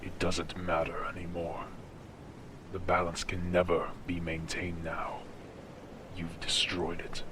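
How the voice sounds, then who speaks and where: Over loud background noise, a man performs a put-on character voice, very deep and low, at a fairly slow pace with long, frequent pauses. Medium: audio drama.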